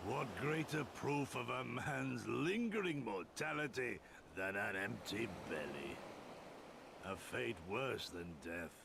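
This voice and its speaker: A man does a put-on character voice at medium pitch and a fairly slow pace, with clear background noise. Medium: video game. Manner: archaic, grandiloquent phrasing.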